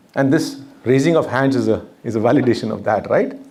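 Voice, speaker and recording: A man's voice comes with audible room echo. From northern India (Uttar Pradesh). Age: 50s. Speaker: speaker and documentary maker. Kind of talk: lecture.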